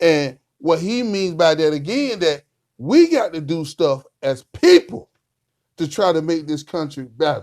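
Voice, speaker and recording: A man with an American accent speaks fairly slowly in an unremarkable speaking voice, fairly high in pitch with ordinary pitch variation. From Rocky Mount, North Carolina. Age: 40s. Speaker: local commentary show host. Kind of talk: casual chat.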